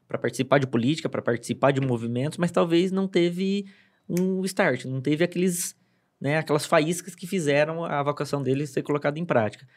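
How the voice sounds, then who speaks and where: In a very clean recording with a silent background, a man with a plain, everyday voice talks at a fairly quick pace, his fairly high pitch showing ordinary variation. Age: 30s. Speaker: city councillor and advertising professional. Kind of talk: casual chat. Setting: studio.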